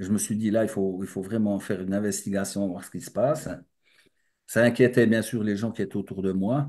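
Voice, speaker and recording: A man speaks in a dark, mellow tone. Audible room echo surrounds his voice. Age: 60s. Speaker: spiritual speaker. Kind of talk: lecture. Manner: halting.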